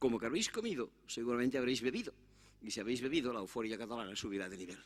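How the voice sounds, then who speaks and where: A man at medium pitch, talking at a very fast pace with ordinary pitch variation. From Catalonia, Spain. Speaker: conference speaker on immigration. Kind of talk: conference talk. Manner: animated.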